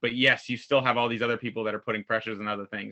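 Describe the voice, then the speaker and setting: Monotone, flat intonation marks this man's speech. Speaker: school principal. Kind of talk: casual chat. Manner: fast.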